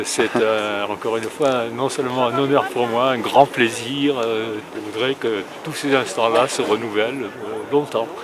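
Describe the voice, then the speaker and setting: A man speaking at a fairly slow pace with hardly any pauses and fairly even intonation, over noticeable background noise. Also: medium pitch for a man. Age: 80s+. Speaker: speed rider. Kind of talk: interview. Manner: hesitant, many fillers.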